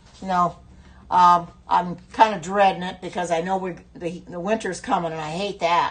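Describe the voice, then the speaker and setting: A somewhat breathy woman with an American accent at a moderate pace. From US Midwest, Indiana. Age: 70s. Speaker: cooking livestream host. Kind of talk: casual livestream cooking chat. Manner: chatty, hesitant with many fillers.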